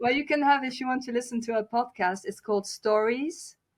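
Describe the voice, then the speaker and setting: A woman with a non-native accent, lively intonation and a moderate pace. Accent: foreign accent in English. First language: German and French. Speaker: author and singer. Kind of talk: podcast interview. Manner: halting, many fillers and restarts.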